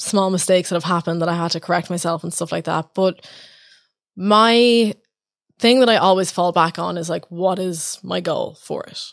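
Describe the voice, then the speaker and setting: In an Irish accent, a woman speaks at a moderate pace and medium pitch with ordinary pitch variation, on a very clean recording with a silent background. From Ireland. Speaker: open mic host and organiser. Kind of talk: casual chat.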